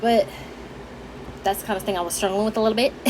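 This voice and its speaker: A woman talks at a fairly high pitch. Noticeable background noise can be heard behind her. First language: Haitian Creole. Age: 20s. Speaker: vlogger. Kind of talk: casual chat.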